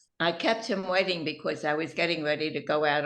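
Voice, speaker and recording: A woman's fairly low, bright, sharp voice in a New York accent, with ordinary pitch variation. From Philadelphia and New York, US Northeast. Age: 90s. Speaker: family matriarch, interview guest. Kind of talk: interview storytelling. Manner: halting.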